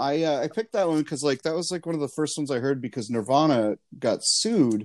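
A man talks in an ordinary speaking voice at a fairly quick pace, with lively intonation. The recording is very clean with a silent background and a dry, close sound with no echo. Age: 40s. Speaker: podcast guest. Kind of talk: casual chat.

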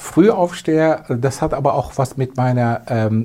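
With a Turkish accent, a man of medium pitch talks at a very slow pace with lively intonation. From Turkey, moved to Germany at eleven. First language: Turkish (speaking German). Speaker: advertising agency owner. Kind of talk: interview.

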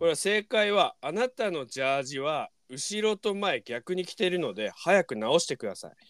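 A man's high voice with very wide pitch swings, moderate pace and hardly any pauses, dry and close with no echo on a very clean recording with a silent background. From rural Miyagi, Japan. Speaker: podcast host and band guitarist. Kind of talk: casual chat. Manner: animated.

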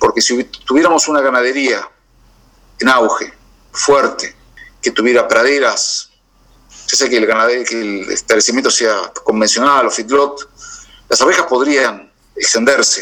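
In an Argentine accent, a man speaks at a fairly slow pace with long, frequent pauses. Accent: Argentine Spanish (rioplatense voseo). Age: 50s. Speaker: beekeeper. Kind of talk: interview. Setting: video call. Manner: halting, with repetitions and fillers.

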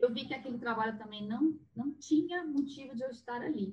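A woman's voice sounds somewhat breathy. She speaks at a fairly slow pace. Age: 40s. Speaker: therapist. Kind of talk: casual chat.

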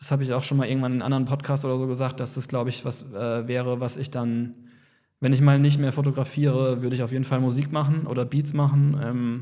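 A man speaks very fast at a medium pitch, his dark, mellow tone held to a monotone, flat intonation. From Kaiserslautern, Palatinate, Germany. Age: 30s. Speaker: photographer. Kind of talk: casual interview chat.

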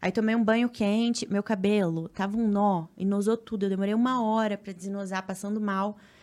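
A woman's medium-pitched voice, monotone and flat, with hardly any pauses, on a very clean recording with a silent background. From Paraná, Brazil (Cascavel, interior). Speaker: triathlete and influencer. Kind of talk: casual chat.

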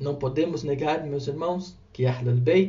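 A man speaks in a somewhat breathy voice with ordinary pitch variation, and audible room echo surrounds him. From Brazil, São Paulo coast (Guarujá). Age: 30s. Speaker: religious speaker. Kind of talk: religious talk. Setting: recorded audio for radio.

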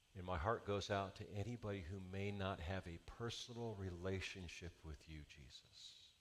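The pitch moves in an ordinary way across a natural reading voice.

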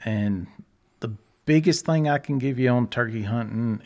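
Speaking with a Texan accent, a man uses a medium pitch and ordinary pitch variation. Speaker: hunting guide and dad. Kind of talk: casual conversational interview.

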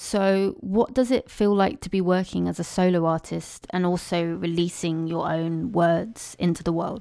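With an unremarkable speaking voice, a woman talks at a moderate pace, her fairly low pitch showing ordinary variation, with hardly any pauses on a very clean recording with a silent background. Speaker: podcast host. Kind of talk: interview.

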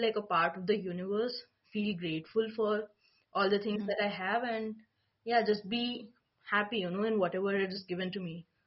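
A somewhat breathy voice with fairly even intonation at a fairly quick pace. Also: woman. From India. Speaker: spiritual life coach. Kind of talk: interview conversation. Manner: hesitant, many fillers.

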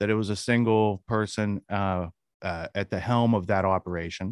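A man in a normal speaking voice, moderate in pace, with ordinary pitch variation, dry and close with no echo against a quiet background. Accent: American. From Western Pennsylvania. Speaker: podcaster and researcher. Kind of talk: interview.

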